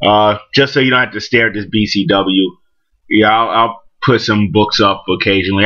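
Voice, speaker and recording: Fairly low male voice in a New York accent, with fairly even intonation and a moderate pace. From Brooklyn, New York. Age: 40s. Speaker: comic book collector vlogger. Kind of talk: casual vlog monologue. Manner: halting, many fillers.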